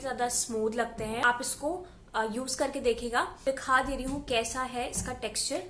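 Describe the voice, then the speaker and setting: Noticeable background noise sits behind this voice. It belongs to a woman with a high pitch. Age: 20s. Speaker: beauty vlogger. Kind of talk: product review. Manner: casual, Hindi-English code-switching.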